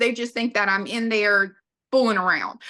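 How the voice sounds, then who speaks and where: With a Southern US accent, a woman speaks at a fairly high pitch in a bright, sharp tone with fairly even intonation. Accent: Southern US drawl. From US South. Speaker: podcast guest, businesswoman. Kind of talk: casual interview chat.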